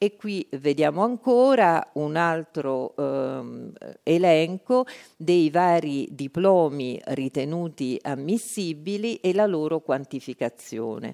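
Very slow delivery in a dark, mellow tone, with lively intonation. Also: woman, very deep, low pitch for a woman, dry, close sound with no echo. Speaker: institute director. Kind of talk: conference talk. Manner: formal.

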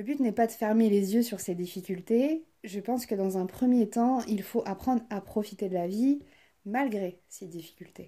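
On a very clean recording with a silent background, a woman speaks fairly slowly in a dark, mellow, somewhat breathy tone at a fairly high pitch with ordinary pitch variation. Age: 20s. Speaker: podcast host, trainee psychotherapist. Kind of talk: scripted monologue.

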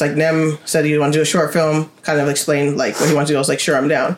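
A woman speaks at a fairly quick pace in a very deep, low pitch. Noticeable background noise runs behind her. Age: 30s. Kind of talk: casual chat. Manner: fast talker.

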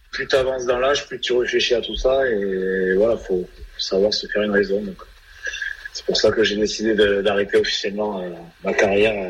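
Noticeable background noise behind a man at a moderate pace, his speech broken by long, frequent pauses. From southwest France, Gironde (Langon). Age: 30s. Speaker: retired rugby player. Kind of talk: radio interview.

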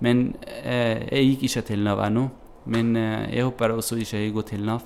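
In an Arabic accent, a man speaks at a moderate pace with monotone, flat intonation. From Syria. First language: Arabic (speaking Norwegian). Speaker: refugee. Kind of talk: interview. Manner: halting, many hesitations.

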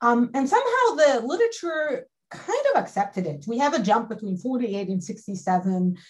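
Fairly slow, somewhat breathy speech from a woman. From Galilee, northern Israel. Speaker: history professor. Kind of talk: panel discussion.

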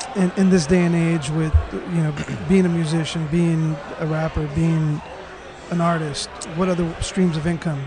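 The voice moves at a moderate pace with fairly even intonation. Noticeable background noise and audible room echo are present. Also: man, high pitch for a man. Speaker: podcast host and interviewer. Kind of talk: casual interview conversation. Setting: hotel lobby.

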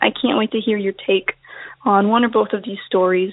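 A woman with an American accent uses a plain, everyday voice, fairly high in pitch, at a moderate pace. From North Carolina, Outer Banks. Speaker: science teacher. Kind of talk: voicemail story.

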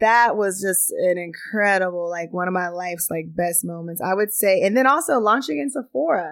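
In a very clean recording with a silent background, a woman with an unremarkable speaking voice and an American accent talks at a moderate pace, her medium pitch showing ordinary variation. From Texas, Pflugerville near Austin. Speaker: beauty brand founder. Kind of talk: casual interview.

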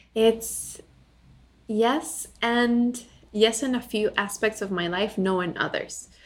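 A woman with a Spanish accent speaks with fairly even intonation. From Bolivia. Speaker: ethical lifestyle entrepreneur. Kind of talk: casual interview.

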